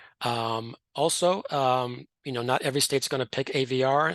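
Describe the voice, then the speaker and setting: The voice shows ordinary pitch variation over a quiet background. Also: man. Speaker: voting rights lawyer, webinar panelist. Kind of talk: webinar presentation. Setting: online webinar. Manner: halting, many fillers; fast.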